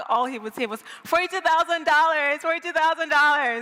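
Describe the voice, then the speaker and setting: Her American accent carries ordinary pitch variation as the woman speaks. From Nigeria, Lagos. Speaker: storyteller. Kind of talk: live storytelling. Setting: stage with audience.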